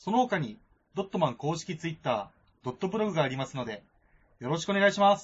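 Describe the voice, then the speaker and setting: In an animated tone at a fairly quick pace, a man with high pitch makes very wide pitch swings and big swings in loudness. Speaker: podcast co-host. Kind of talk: casual chat. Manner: animated, laughs often.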